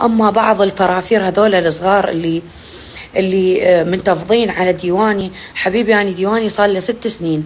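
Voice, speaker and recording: An animated woman's voice at medium pitch, moving at a moderate pace. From Iraq. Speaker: poet and social media personality. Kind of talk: casual vlog chat to followers.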